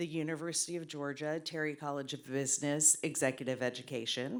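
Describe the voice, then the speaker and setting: A woman's very deep, low voice with fairly even intonation. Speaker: audience member asking a question. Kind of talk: audience question. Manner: loud.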